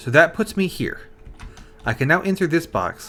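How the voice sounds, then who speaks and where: Moderate-paced woman with fairly low pitch and very wide pitch swings, music playing in the background. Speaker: video game streamer. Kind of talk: live gameplay commentary. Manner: casual, rambling with fillers.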